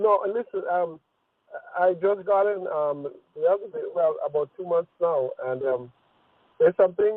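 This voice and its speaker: A man speaks in a strong Trinidadian accent at a high pitch and a moderate pace. He pauses long and often, with ordinary pitch variation. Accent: heavy Trinidadian. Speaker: caller. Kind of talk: phone question. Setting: phone call. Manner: halting.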